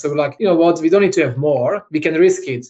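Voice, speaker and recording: A man speaks with a Slovak accent. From Slovakia. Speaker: fitness entrepreneur, CEO. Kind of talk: interview answer.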